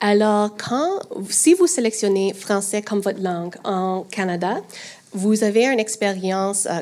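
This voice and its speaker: A fairly slow English accent with ordinary pitch variation, long, frequent pauses and noticeable background noise. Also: woman. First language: English (speaking French). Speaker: streaming podcast manager. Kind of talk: panel discussion. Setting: stage with audience. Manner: hesitant in French.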